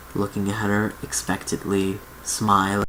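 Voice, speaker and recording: A soft-spoken voice at a fairly slow pace over noticeable background noise. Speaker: ASMR reader. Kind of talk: read story.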